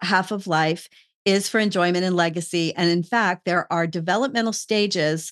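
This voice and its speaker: A woman with an unremarkable speaking voice speaks at a medium pitch and moderate pace with fairly even intonation, in a dry, close sound with no echo and a quiet background. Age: 60s. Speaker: podcast host. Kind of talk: casual interview conversation.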